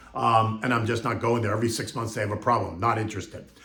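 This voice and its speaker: A man speaks over noticeable background noise. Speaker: market commentator. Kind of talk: casual market commentary to camera.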